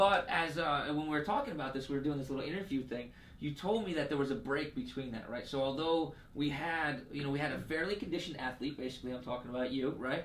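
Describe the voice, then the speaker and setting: Over audible room echo, a man with a fairly high pitch talks at a very fast pace. He uses hardly any pauses and ordinary pitch variation. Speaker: sports medicine health educator. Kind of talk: casual interview with explanation. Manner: halting, many fillers and repeats.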